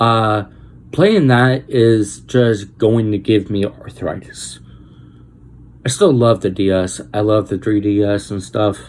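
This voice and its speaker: A man speaks at a very slow pace. His fairly low voice shows ordinary pitch variation. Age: 30s. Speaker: gaming vlogger. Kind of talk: casual vlog. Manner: stutters; animated.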